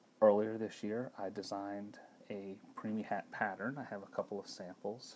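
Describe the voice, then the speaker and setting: A man speaks at a moderate pace in a fairly low, monotone, flat voice. His loudness swings widely. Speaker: knitting pattern designer. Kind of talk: live stream talk. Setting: live video stream at home. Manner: halting; soft-spoken. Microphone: too quiet at first.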